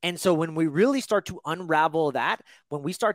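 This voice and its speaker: An animated man with a fairly high pitch and lively intonation, heard as a dry, close sound with no echo. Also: very clean recording, silent background. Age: 40s. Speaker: holistic health coach and podcast host. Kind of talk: interview conversation.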